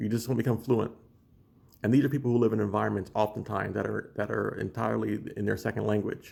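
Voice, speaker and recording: The man's fairly low voice carries vocal fry and fairly even intonation. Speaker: language learning vlogger. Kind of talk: casual monologue video. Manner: halting, many restarts and fillers.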